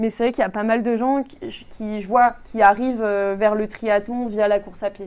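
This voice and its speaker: Fairly high in pitch, a woman with an unremarkable speaking voice talks at a moderate pace with fairly even intonation. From France. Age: 20s. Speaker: engineering consultant and amateur triathlete. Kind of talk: interview.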